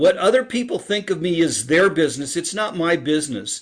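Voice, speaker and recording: In a quiet setting, a man with a high voice talks fairly slowly with ordinary pitch variation. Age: 60s. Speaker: author and speaker on happiness. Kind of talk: interview.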